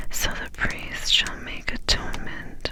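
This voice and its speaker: Noticeable background noise surrounds a woman as she whispers. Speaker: ASMR Bible reader. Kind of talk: scripture reading. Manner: whispered.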